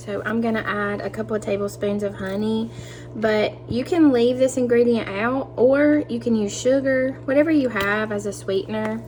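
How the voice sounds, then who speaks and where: Noticeable background noise sits behind this woman's voice. She speaks at a moderate pace with a Southern US accent. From US South. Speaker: cooking youtuber. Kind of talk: tutorial. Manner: friendly, upbeat.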